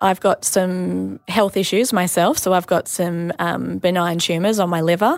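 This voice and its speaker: In an Australian accent, a woman speaks fairly slowly at a fairly low pitch, and the sound is dry and close with no echo. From Australia, Sydney. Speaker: mother sharing birth story. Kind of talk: personal testimony interview.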